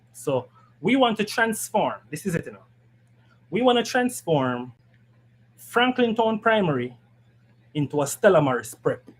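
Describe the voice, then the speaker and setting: A man with a high-pitched voice makes very wide pitch swings and big swings in loudness, leaving long, frequent pauses. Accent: Jamaican. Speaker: political party education committee member. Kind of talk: political panel discussion. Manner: fast.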